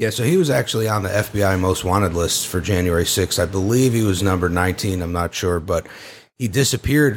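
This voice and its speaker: A man's fairly low, normal speaking voice on a very clean recording with a silent background. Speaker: January 6 attendee, guest. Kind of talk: casual chat, firsthand account.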